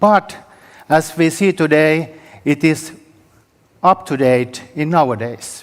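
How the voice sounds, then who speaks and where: Speaking very slowly with long, frequent pauses, a man with a Finnish accent uses a fairly high pitch and ordinary pitch variation. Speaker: historian. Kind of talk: conference presentation. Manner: halting.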